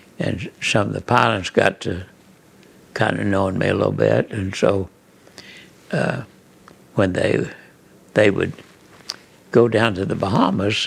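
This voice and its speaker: A man with an American accent speaks at a fairly low pitch and a fairly slow pace, with ordinary pitch variation. He leaves long, frequent pauses, and background noise is noticeable. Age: 90s. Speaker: photographer. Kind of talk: interview answer. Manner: hesitant, halting.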